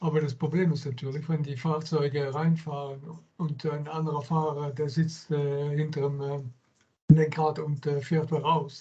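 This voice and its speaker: Somewhat breathy and dark, mellow in tone, a man speaks at a fairly high pitch and moderate pace in a monotone, flat intonation with hardly any pauses. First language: German. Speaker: workshop attendee. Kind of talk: audience question. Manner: halting.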